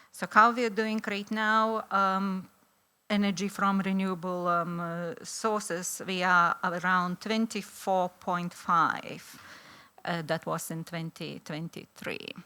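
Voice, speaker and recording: Speaking at a very slow pace in a Lithuanian accent, a woman has a medium pitch, fairly even intonation and a bright, sharp tone, heard in a very clean recording with a silent background. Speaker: law professor. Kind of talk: conference talk. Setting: stage with audience. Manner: halting, many fillers.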